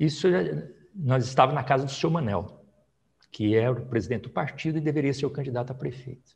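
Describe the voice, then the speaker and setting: A man talks at a very fast pace, somewhat breathy, with ordinary pitch variation. He leaves long, frequent pauses. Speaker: politician, federal deputy; politician. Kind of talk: oral history interview. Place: home room. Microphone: lapel.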